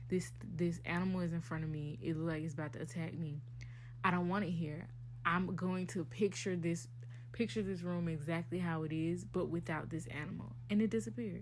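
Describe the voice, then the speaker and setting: In a room with audible echo, a woman speaks at a very deep, low pitch with vocal fry and ordinary pitch variation. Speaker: podcast host. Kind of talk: casual chat. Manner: deliberately enunciating.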